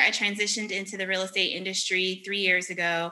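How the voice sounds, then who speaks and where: This is a woman with an American accent. She has an ordinary speaking voice. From Virginia, Richmond. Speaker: podcast co-host, former teacher. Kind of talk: casual chat.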